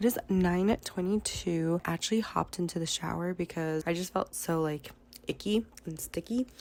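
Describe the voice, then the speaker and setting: Delivered at a moderate pace, this is a plain, everyday voice with ordinary pitch variation. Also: woman, fairly low pitch for a woman. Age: 20s. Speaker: lifestyle vlogger. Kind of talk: vlog, casual talk to camera. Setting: at home and at a park, in a car. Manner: chatty, informal.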